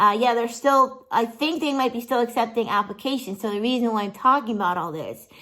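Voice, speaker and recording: A woman's animated tone with ordinary pitch variation, on a very clean recording with a silent background. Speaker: vlogger and musician. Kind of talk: casual vlog.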